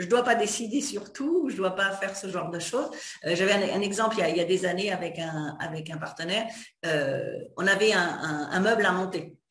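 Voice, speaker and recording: Medium pitch from a female speaker, normal rise and fall in pitch, and some audible echo from the room. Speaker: interviewer. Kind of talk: interview. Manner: fast.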